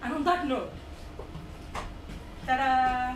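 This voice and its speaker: A woman's lively intonation comes through noticeable background noise and audible room echo. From India. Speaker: student comedian. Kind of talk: stand-up. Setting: stage with audience. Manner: animated.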